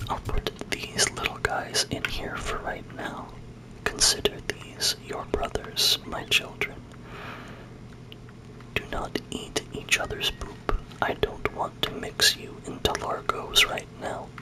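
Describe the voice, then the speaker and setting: Noticeable background noise fills the recording. The whispering goes at a very slow pace. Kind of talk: ASMR gaming let's play. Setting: dorm room at desk. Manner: whispered.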